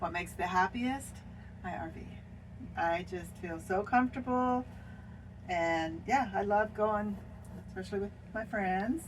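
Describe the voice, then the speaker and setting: Speaking in a Pacific Northwest accent, a woman talks at a fairly slow pace with a medium pitch and ordinary pitch variation. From Washington State. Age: 70s. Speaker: RV traveler. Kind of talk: casual chat.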